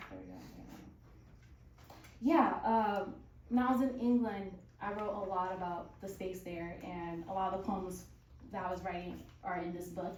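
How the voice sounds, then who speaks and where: Over noticeable background noise, a woman of medium pitch speaks at a moderate pace. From Southern California. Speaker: spoken word poet. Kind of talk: casual stage banter.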